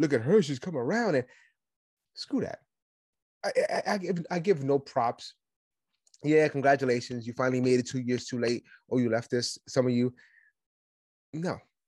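An animated man with a fairly high voice, ordinary pitch variation, long and frequent pauses, and a dry, close sound with no echo. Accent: New York. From Brooklyn, New York. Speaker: podcast host, conservative commentator. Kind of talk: solo political commentary monologue. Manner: fast talker, aggressive, animated.

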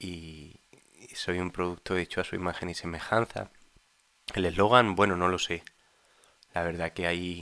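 A man speaks with a very deep, low pitch and a bright, sharp tone. His intonation is monotone and flat, broken by long, frequent pauses. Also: moderate pace. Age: 30s. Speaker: husband of the host, interviewee. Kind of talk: casual chat.

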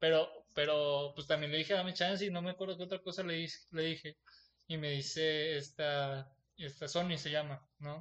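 With fairly even intonation and a moderate pace, a man talks in a normal speaking voice pitched fairly high. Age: 20s. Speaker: podcast host. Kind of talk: casual chat.

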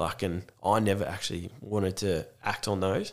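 This man talks at a moderate pace in an Australian accent, his fairly low pitch showing ordinary variation. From Australia, Gippsland, Victoria. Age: 20s. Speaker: mental health program facilitator and army veteran. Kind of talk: casual interview.

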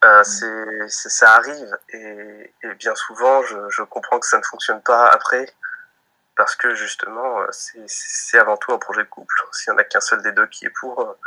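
Here a man talks at a fairly slow pace, his loudness swinging widely. The sound is dry and close, with no echo. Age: 20s. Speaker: young father telling his child's home birth. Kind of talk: interview, personal birth story. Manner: hesitant, many fillers and repetitions.

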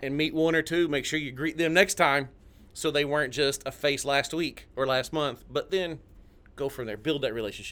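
With a Tennessee accent, a man talks at a moderate pace in a fairly high pitch and fairly even intonation, recorded very cleanly against a silent background. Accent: Tennessee accent, noticeable. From Southeast Tennessee, near Chattanooga. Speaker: realtor, former Navy. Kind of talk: casual radio interview.

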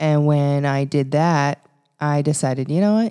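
In a very clean recording with a silent background, a woman with a Canadian Prairies accent speaks at a moderate pace in a very deep, low-pitched, dark and mellow voice. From Canada, Regina, Saskatchewan. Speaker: podcast co-host, publicist. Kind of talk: casual chat.

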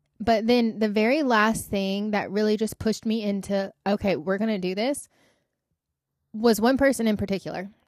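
A woman's fairly high voice, an ordinary speaking voice with fairly even intonation, on a very clean recording with a silent background. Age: 30s. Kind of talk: casual faith talk. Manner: fast, run-on.

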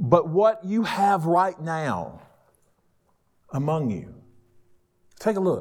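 A man with a Southern US accent speaks very slowly, leaving long, frequent pauses. His pitch is high, with ordinary variation. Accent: Southern US (Georgia). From US South, northwest Georgia. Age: 50s. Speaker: pastor. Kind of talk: sermon. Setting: stage with audience. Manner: animated.

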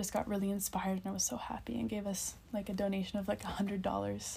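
A somewhat breathy woman at medium pitch, dark and mellow in tone, with a Canadian accent. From Nova Scotia, Canada. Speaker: dancer. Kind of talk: casual chat. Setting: hostel bunk bed.

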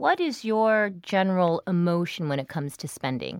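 In a plain, everyday voice, a woman speaks with a fairly low pitch and lively intonation. The recording is very clean, with a silent background and a dry, close sound with no echo. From US, child of immigrants. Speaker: podcast host. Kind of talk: scripted narration; interview.

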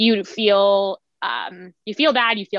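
In a Canadian accent, a woman talks at a very slow pace, the sound dry and close with no echo over a quiet background. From Ontario, Canada. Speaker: yoga instructor. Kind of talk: casual chat.

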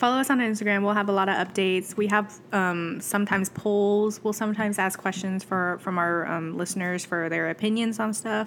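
The woman's pitch sits in the medium range, and her pace is fairly quick. Her loudness stays very even. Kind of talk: casual chat. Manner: animated, chatty.

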